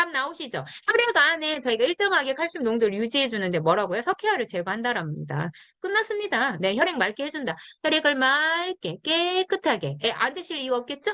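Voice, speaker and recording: A woman speaks in a raised, projected voice at a high pitch and a fairly quick pace, her bright, sharp tone moving through very wide pitch swings. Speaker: network marketing product trainer. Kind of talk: product training talk. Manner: fast; animated.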